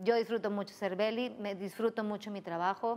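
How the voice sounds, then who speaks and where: A woman at a moderate pace with monotone, flat intonation. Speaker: guest. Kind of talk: interview answer. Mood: cheerful, laughing. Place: studio. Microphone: lapel.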